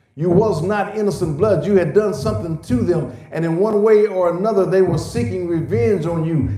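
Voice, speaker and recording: Through noticeable background noise and audible room echo, a man speaks at a moderate pace with a high pitch and lively intonation. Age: 60s. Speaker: pastor. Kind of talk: sermon. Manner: hesitant fillers and repetitions.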